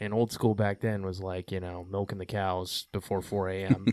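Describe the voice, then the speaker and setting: A man talks at a moderate pace in a fairly low pitch, his intonation monotone and flat. The recording is very clean, with a silent background. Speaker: podcast host, veterans project founder. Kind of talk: podcast interview. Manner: talkative.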